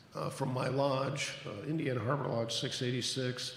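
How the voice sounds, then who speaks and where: A soft-spoken man talks at a moderate pace and medium pitch with monotone, flat intonation. Audible room echo and noticeable background noise are present. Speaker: lodge officer, grand secretary. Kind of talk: ceremony introductions.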